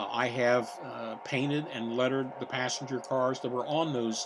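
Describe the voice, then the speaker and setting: Over noticeable background noise, a man with an American accent speaks at a moderate pace. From US Midwest, Cincinnati, Ohio. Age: 70s. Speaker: model railroader, navy veteran. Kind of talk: layout tour narration. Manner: hesitant, many filler words.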